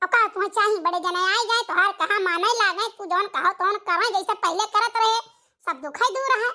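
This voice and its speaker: Using a cartoonish character voice, a woman talks at a fairly quick pace with an extremely high pitch. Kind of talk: rustic cartoon comedy. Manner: coaxing, bossy.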